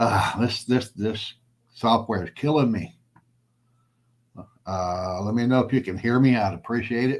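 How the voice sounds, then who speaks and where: A man with a Southern US accent talks at a fairly slow pace and medium pitch, with ordinary pitch variation and long, frequent pauses. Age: 60s. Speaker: prepper channel host. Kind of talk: casual livestream chat. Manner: plain-spoken, unpolished.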